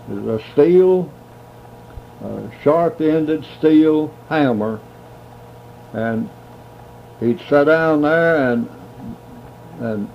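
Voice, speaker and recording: Noticeable background noise sits behind a man with a fairly high pitch and ordinary pitch variation. He talks at a very slow pace, with long, frequent pauses and big swings in loudness. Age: 80s+. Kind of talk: interview answer.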